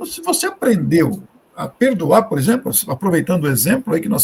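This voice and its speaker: This man speaks in a high voice whose pitch swings very widely. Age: 60s. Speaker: spiritist speaker. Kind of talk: live discussion.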